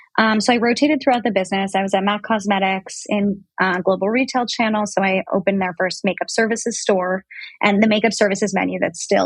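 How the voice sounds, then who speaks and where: A woman's medium-pitched, somewhat breathy voice moves at a very fast pace with ordinary pitch variation, recorded with a dry, close sound with no echo. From New York City. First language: French. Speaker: brand founder. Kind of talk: interview. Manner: casual, many fillers.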